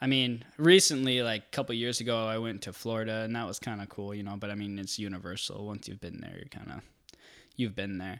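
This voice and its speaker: In an ordinary speaking voice with an American accent, a man talks at a fairly quick pace and medium pitch, with ordinary pitch variation and big swings in loudness, on a very clean recording with a silent background. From Twin Cities area, Minnesota, US. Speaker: podcast guest sharing dreams. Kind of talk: casual chat, storytelling. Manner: casual, jokey, filler-heavy.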